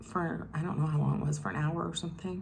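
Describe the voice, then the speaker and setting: A woman's somewhat breathy voice, with fairly even intonation, carries audible room echo. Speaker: beauty vlogger. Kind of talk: casual chat.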